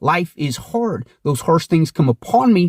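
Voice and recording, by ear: A man speaks at a moderate pace in a fairly high voice, his tone slightly mellow with a slightly husky edge, recorded dry and close with no echo.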